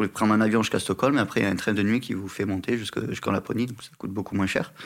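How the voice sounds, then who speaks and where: Very fast delivery with fairly even intonation. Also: man. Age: 30s. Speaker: polar guide. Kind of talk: interview. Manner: hesitant, with filler sounds.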